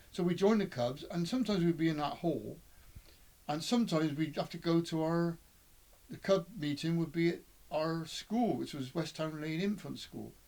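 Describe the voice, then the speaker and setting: In a West Country accent, a man speaks with a high-pitched voice. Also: ordinary pitch variation, moderate pace. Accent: West Country English (Bristol). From England, Bristol. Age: 70s. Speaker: interviewee recalling his life. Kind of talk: oral history reminiscence. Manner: halting, with repeated words and fillers.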